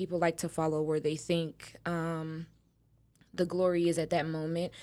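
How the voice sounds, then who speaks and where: A woman speaks with an American accent at a fairly low pitch. The recording is very clean, with a silent background. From Texas. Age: 20s. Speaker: nail technician. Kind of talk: casual chat.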